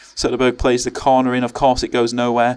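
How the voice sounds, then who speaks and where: A man talks at a fairly quick pace with an English accent. His pitch sits in the medium range. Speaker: gaming YouTuber. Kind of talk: gameplay commentary. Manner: fast; animated.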